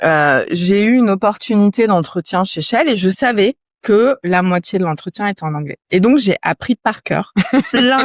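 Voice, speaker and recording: A woman talks at a fairly slow pace and medium pitch in an ordinary speaking voice, the sound dry and close with no echo. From France, Yvelines (Paris region). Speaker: entrepreneur, company founder. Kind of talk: interview conversation. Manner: casual, many fillers.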